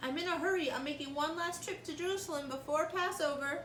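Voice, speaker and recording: Using a squeaky, put-on character voice, a woman speaks at a very fast pace. Background noise is clearly audible. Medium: read story. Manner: hurried, polite.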